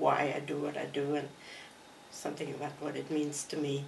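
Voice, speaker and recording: A woman speaks fairly quickly at a very deep, low pitch. Noticeable background noise and audible room echo fill the recording. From Croatia. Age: 80s+. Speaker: artist. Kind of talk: interview.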